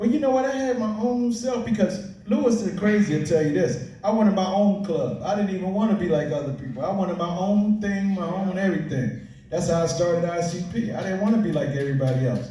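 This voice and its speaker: Lively and high-pitched, a man talks at a fairly quick pace. The recording carries audible room echo and noticeable background noise. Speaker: graffiti writer. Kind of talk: panel discussion.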